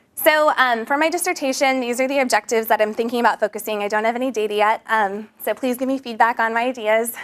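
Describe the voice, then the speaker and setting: Her pitch is fairly high for a woman. She talks at a very fast pace with hardly any pauses. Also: ordinary pitch variation. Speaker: graduate student presenter. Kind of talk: conference talk. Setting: presentation to an audience.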